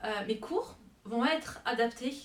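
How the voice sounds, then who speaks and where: Pitch varies in an ordinary way. The pace is very slow. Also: woman. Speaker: French teacher. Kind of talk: self-presentation to camera. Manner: hesitant, with fillers.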